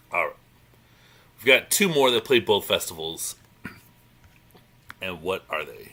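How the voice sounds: Putting on a character voice, a man speaks at a moderate pace in a raspy, hoarse, croaky tone.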